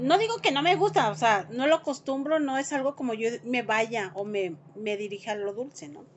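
An animated woman with a Mexican accent, very wide pitch swings, big swings in loudness and hardly any pauses, over light background noise. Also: fairly high pitch for a woman, moderate pace. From Mexico. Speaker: vlogger. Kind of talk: casual chat. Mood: worried, expressive. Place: home room. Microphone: phone near.

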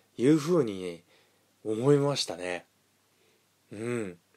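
A man's dark, mellow tone unfolds at a fairly slow pace. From Hiroshima, Japan. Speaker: solo video host, movie reviewer. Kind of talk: solo radio-style monologue about films. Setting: solo recording. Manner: casual, rambling, fillers.

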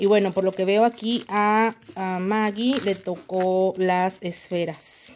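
Over light background noise, a woman talks at a very slow pace with hardly any pauses. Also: fairly even intonation. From Mexico. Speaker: nail art youtuber. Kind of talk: unboxing video. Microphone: phone near.

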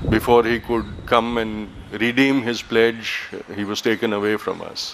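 The speaker is a man. Light background noise sits under his voice. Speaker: event host giving welcome. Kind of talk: formal welcome speech. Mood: solemn, reflective. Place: garden. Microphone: podium.

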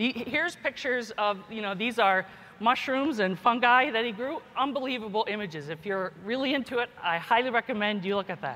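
A woman with a fairly high pitch speaks at a fairly quick pace, with hardly any pauses. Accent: American. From US, Kentucky. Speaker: geneticist and professor; professor. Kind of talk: keynote speech. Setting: conference stage with audience. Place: hall.

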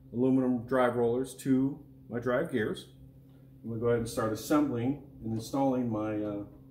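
A man talks at a fairly quick pace with fairly even intonation. Audible room echo and light background noise are present. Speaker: equipment product demonstrator. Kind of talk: tutorial. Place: workshop.

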